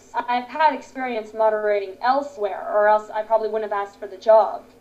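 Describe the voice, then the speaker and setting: Through noticeable background noise comes a woman's voice, fairly high in pitch. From Canada. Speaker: voice actor. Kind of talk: casual interview. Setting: remote interview, different states.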